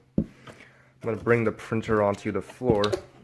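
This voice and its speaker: Noticeable background noise under a monotone, flat intonation. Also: man. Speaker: YouTuber doing a product unboxing. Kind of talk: unboxing video. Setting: home office. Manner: hesitant, many fillers; casual.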